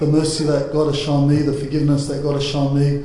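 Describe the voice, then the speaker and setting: A man's fairly high voice stays monotone and flat, with noticeable noise in the background. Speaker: church speaker on marriage panel. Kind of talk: panel Q&A discussion. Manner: loud; halting.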